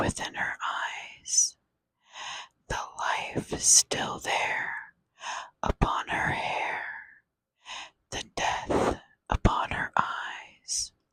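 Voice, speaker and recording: Whispering very slowly, a woman is heard in a dry, close sound with no echo. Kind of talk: poetry reading. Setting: close-up microphone. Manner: whispered; slow, soft-spoken.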